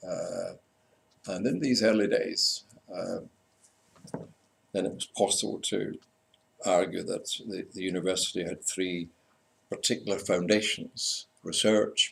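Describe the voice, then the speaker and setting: A man speaks at a fairly slow pace with a slight Scottish accent, leaving long, frequent pauses. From Scotland. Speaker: university lecturer in community development. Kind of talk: conference talk. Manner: halting.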